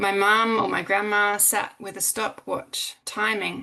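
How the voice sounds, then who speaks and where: A woman's bright, sharp, fairly high voice with vocal fry, an Australian accent and a very slow pace. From South Australia. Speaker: academic. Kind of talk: conference presentation.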